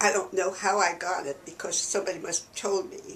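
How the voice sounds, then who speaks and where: With noticeable background noise, a woman speaks in an American accent at a moderate pace. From New York City. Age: 90s. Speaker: church archivist and historian. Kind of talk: oral history interview. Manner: conversational.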